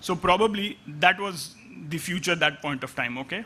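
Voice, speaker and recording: In a raised, projected voice with a bright, sharp tone, a man speaks with ordinary pitch variation. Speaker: analytics executive. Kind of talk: conference talk. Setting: stage with audience. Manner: fast; halting.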